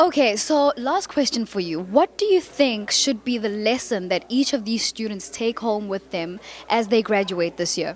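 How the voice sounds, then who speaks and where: Over noticeable background noise, a woman speaks with lively intonation at a moderate pace, with hardly any pauses. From South Africa. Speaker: red carpet interviewer. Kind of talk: red carpet interview. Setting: red carpet at gala event.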